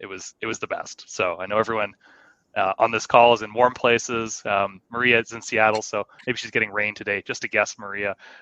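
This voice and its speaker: With a Canadian accent, a man speaks at a fairly quick pace in a fairly low, bright, sharp voice with monotone, flat intonation. The background is quiet and the sound is dry and close, with no echo. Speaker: show co-host, security professional. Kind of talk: casual chat.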